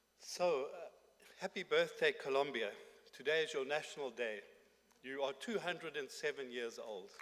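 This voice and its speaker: A man talks at a moderate pace, with long, frequent pauses. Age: 60s. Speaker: conference speaker. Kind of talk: conference speech. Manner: formal.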